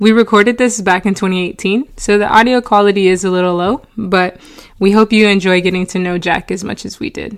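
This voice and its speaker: A woman with an unremarkable speaking voice talks at a fairly quick pace, her medium pitch held in fairly even intonation. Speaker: podcast host. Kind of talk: scripted intro narration.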